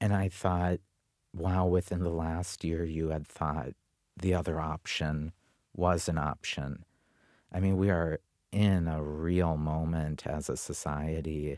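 A man with an Upper Midwest accent and a very deep, low pitch speaks at a very slow pace in a monotone, flat intonation, in a very clean recording with a silent background and a dry, close sound with no echo. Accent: Upper Midwest American. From North Dakota, US. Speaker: author and activist. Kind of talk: conference panel talk. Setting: stage with audience.

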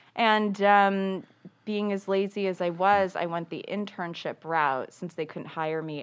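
A woman with an American accent. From Los Angeles, US. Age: 30s. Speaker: publicist. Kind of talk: casual chat. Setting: studio.

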